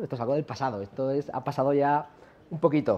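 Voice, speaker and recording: A man is speaking. His pace is moderate. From La Mancha, Spain; Spain. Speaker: software company founder, conference speaker; conference speaker. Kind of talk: conference talk. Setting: stage with audience. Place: hall.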